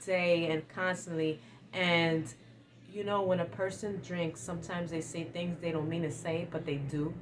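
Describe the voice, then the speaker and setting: A woman's fairly low, somewhat breathy voice. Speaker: lifestyle vlogger. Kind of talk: advice monologue. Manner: sometimes stumbling over words.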